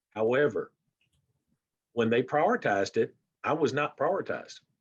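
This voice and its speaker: Against a quiet background, a man speaks at a moderate pace in a dry, close sound with no echo. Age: 60s. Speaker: diabetes advocate, panelist. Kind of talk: panel discussion.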